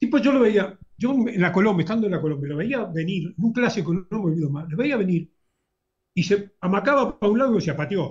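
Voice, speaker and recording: With a Uruguayan accent, a man speaks fairly quickly in a high pitch and with lively intonation. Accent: Rioplatense Spanish (Uruguayan). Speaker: football fan and YouTube commentator. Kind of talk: casual interview chat.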